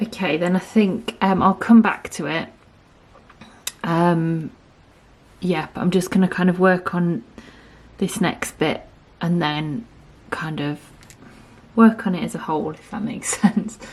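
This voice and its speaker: A quiet woman speaks at a medium pitch and a fairly slow pace, with ordinary pitch variation. She takes long, frequent pauses. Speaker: artist. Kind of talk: tutorial. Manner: quiet, absorbed; hesitant, filler-heavy.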